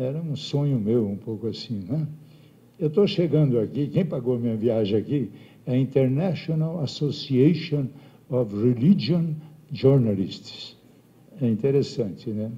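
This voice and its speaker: The voice is somewhat breathy, with a dark, mellow tone. It moves at a fairly slow pace, broken by long, frequent pauses. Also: man, medium pitch for a man, lively intonation. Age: 70s. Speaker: bishop. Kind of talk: speech to assembly. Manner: animated.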